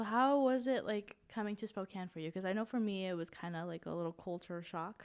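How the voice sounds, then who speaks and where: With an American accent, a woman talks at a fairly quick pace with hardly any pauses, her medium pitch varying in an ordinary way. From US Northwest, eastern Washington. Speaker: podcast co-host, college student. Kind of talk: casual chat.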